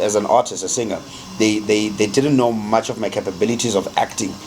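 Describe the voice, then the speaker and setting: A man talking at a very fast pace with ordinary pitch variation, against noticeable background noise. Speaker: R&B singer. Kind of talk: interview chat. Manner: halting, many fillers and repeats.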